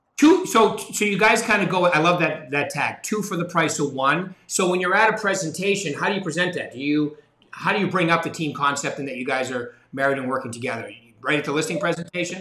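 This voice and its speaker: A man speaks fairly quickly in a high pitch with ordinary pitch variation. Audible room echo surrounds his voice. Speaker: sales executive, interviewer. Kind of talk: podcast interview host. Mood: friendly, bantering. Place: office. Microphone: video call.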